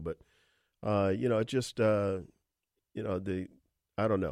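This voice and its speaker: A man talks in an unremarkable speaking voice at a fairly low pitch and fairly quick pace. The recording is very clean, with a silent background. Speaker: radio host. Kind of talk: radio sports talk show. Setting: studio. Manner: conversational, chatty.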